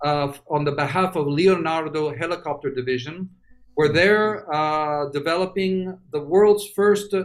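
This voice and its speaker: Fairly high-pitched and fairly slow, the man's delivery comes in an unremarkable speaking voice. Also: ordinary pitch variation. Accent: American. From New York City. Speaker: industrial designer. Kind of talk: presentation of design work.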